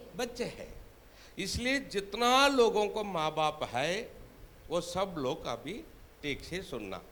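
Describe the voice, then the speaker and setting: A high-pitched man in a Tamil accent with lively intonation and audible room echo. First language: Tamil (speaking Hindi). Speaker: preacher. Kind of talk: sermon.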